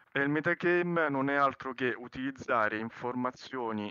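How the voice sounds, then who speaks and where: A man's medium-pitched voice, fairly slow, with ordinary pitch variation and a bright, sharp tone. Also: dry, close sound with no echo. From Italy. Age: 30s. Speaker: roleplay server applicant. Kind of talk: interview. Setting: voice chat.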